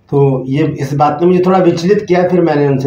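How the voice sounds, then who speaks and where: Dark and mellow in tone, a man's voice has a somewhat breathy edge. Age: 60s. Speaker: pastor. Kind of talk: sermon. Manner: halting.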